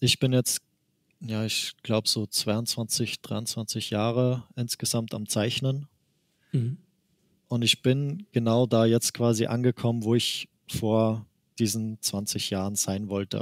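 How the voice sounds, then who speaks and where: A very slow, fairly even delivery in an Austrian accent, with long, frequent pauses and a dry, close sound with no echo on a very clean recording with a silent background. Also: man. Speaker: manga artist. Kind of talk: interview. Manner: laughs often.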